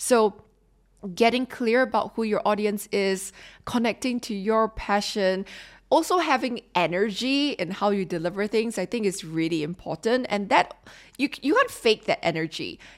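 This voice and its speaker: A woman in a Singaporean accent, fairly high-pitched with lively intonation and a moderate pace, on a very clean recording with a silent background. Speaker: podcast host and leadership consultant. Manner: informal, frank, conversational.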